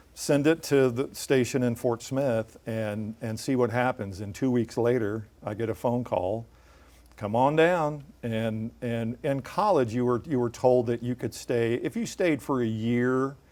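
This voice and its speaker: A man with a Midwestern US accent, a fairly slow pace and ordinary pitch variation. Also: medium pitch for a man. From central Illinois. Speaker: TV news anchor. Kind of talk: interview.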